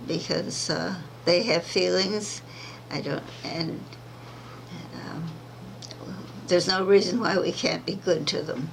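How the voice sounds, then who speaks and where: A woman talks at a fairly slow pace with long, frequent pauses, amid audible room echo and noticeable background noise. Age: 80s+. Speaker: centenarian activist. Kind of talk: interview. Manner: halting.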